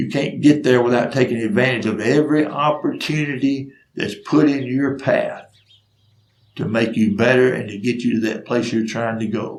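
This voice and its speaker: Spoken at a moderate pace with a Southern US accent, the voice keeps a fairly even intonation. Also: man, medium pitch for a man. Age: 60s. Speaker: storyteller. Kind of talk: storytelling monologue.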